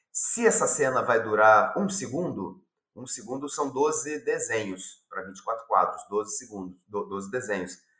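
Talking fairly slowly, a man has a medium pitch and a bright, sharp tone, with very wide pitch swings and big swings in loudness. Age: 50s. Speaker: animation film director. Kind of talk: interview. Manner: halting, many repetitions.

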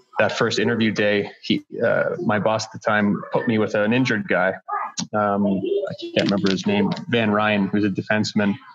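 Noticeable background noise sits behind this recording. A man talks over it at a moderate pace. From Whitby, Ontario. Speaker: strength coach. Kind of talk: casual interview chat. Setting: video call from home.

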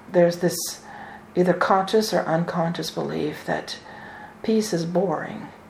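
In a calm, solemn tone, a woman with a fairly low pitch speaks at a fairly slow pace with fairly even intonation and long, frequent pauses, over noticeable background noise. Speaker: spiritual channeler and minister. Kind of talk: spiritual channeling in a deep meditative trance, delivering an angelic message; live online ceremony and talk. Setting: video call webinar with online audience. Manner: slow, calm, measured and solemn, with a soothing, authoritative cadence.

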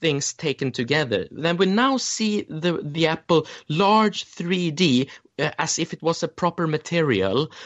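Speaking very slowly, a man with a Swedish accent has a fairly high voice. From Sweden. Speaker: memory champion and educator. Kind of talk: interview. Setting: remote call.

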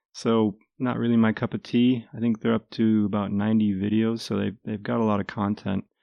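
A man speaks at a moderate pace and fairly low pitch. He has a normal speaking voice. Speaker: podcast host. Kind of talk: casual chat. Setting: studio.

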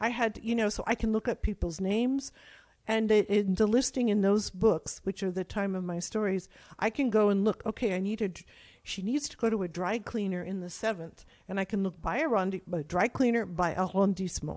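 A woman with an American accent and a normal speaking voice, medium pitch, ordinary pitch variation and a fairly quick pace, in a very clean recording with a silent background. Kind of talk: interview conversation.

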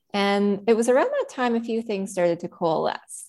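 A woman with a Canadian accent speaks in an unremarkable speaking voice at a medium pitch. Her pace is fairly quick and her intonation lively. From Prince Edward Island, Canada. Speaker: animal rights lawyer. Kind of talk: interview.

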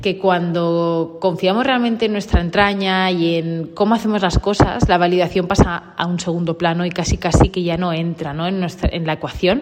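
Noticeable noise runs underneath speech delivered at a medium rate. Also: woman. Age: 30s. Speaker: podcaster on dogs. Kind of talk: personal monologue. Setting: large coworking office. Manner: halting, many repetitions. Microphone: room echo.

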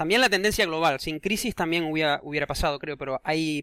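The sound is dry and close, with no echo. A man speaks in a bright, sharp tone. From Canary Islands (Tenerife). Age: 30s. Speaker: podcast host, Spanish teacher. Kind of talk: casual chat.

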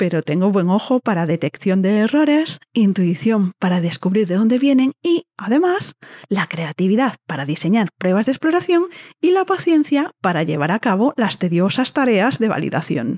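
A woman speaks at a moderate pace with medium pitch and very wide pitch swings. Her loudness stays very even in a dry, close sound with no echo. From northern Spain. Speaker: podcast host. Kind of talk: monologue intro to a podcast.

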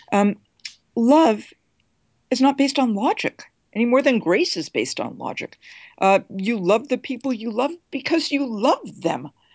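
Woman with an American accent, high-pitched, at a moderate pace with lively intonation and long, frequent pauses. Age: 50s. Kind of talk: interview.

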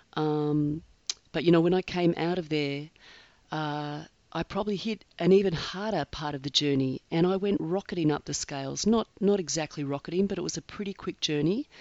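Here a woman speaks in an Australian accent. Her pitch is fairly low, and her pace is moderate. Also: ordinary pitch variation. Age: 50s. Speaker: podcast host, eating disorder survivor. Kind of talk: solo podcast monologue. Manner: hesitant, with filler words.

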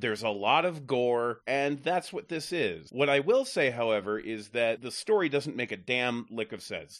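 A man with an unremarkable speaking voice, lively intonation and moderate pace, over a quiet background. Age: 40s. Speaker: podcast panelist, film reviewer. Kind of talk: casual movie review discussion.

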